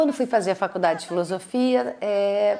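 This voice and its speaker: A woman with a Brazilian accent, lively intonation and a fairly slow pace. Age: 50s. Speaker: actress and playwright. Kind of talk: interview answer.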